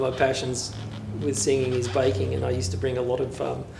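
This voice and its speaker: A man speaks at a medium pitch. Noticeable background noise and audible room echo surround his voice. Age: 50s. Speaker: community choir member. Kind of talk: interview testimony.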